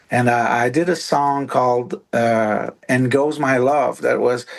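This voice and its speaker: A man with a French accent at a fairly slow pace. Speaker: musician. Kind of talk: casual chat. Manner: halting.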